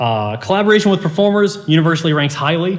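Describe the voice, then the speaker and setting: A man's somewhat breathy voice at a very fast pace, with very wide pitch swings and audible room echo. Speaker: composition professor presenting research. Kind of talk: conference presentation.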